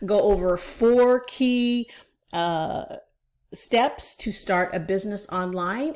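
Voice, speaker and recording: A woman talks at a medium pitch with lively intonation. It is an unremarkable speaking voice. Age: 60s. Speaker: online business coach. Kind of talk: vlog-style tutorial. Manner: casual, conversational with fillers.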